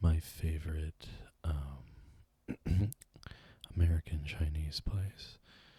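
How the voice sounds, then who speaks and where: Soft-spoken and somewhat breathy, a man talks very slowly in a very deep, low, dark and mellow voice with monotone, flat intonation. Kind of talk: ASMR eating show, casual rambling to camera.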